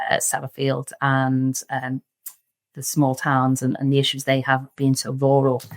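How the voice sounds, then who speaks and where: A woman talks at a fairly slow pace in a very deep, low pitch with monotone, flat intonation. The sound is dry and close, with no echo. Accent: Liverpool. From Liverpool, England. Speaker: surveying firm director. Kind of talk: podcast interview. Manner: casual, many fillers.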